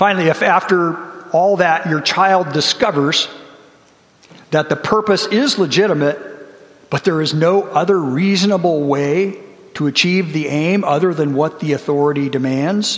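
A high-pitched man's voice at a moderate pace amid noticeable background noise. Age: 60s. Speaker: church elder giving a sermon. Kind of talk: sermon.

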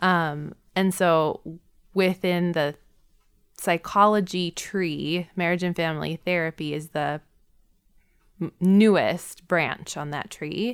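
A woman with an American accent speaks very slowly at a fairly low pitch, with fairly even intonation. Her long, frequent pauses stand out on a very clean recording with a silent background. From Wisconsin, Milwaukee. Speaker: therapist and podcast co-host. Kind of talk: casual chat. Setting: studio.

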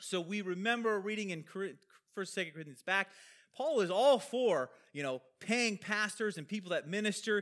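This man's high-pitched voice carries lively intonation. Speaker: pastor. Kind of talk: sermon. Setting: church. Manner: fast.

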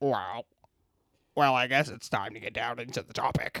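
A raspy, put-on character voice sits at a low-to-middle pitch. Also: moderate pace. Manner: stiff, robotic.

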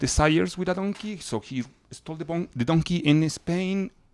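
This man speaks with a Spanish accent. His pitch varies in an ordinary way. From Chile, raised in Mozambique and Ecuador. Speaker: DJ. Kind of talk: casual chat.

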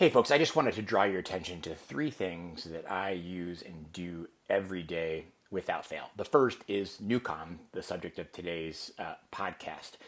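A man with a normal speaking voice uses a fairly low pitch and ordinary pitch variation. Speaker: podcast host. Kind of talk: interview with ad reads.

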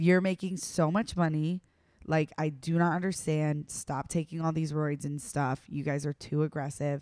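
A woman with a very deep, low pitch speaks in an animated tone at a moderate pace. The recording is very clean, with a silent background. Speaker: podcast co-host. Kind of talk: casual chat.

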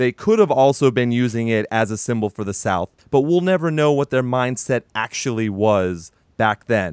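A man talks at a moderate pace with hardly any pauses, animated and with lively intonation. The sound is dry and close, with no echo. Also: medium pitch for a man. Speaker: podcast host. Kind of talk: casual chat about music news and reviews. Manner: animated, joking, profane.

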